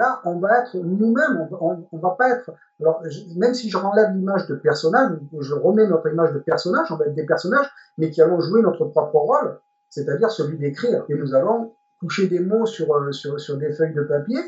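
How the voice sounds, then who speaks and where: A man talks at a moderate pace in a high pitch, his intonation lively. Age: 60s. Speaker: retired journalist and novelist, reality show candidate. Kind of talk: interview. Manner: hesitant, many fillers and repetitions.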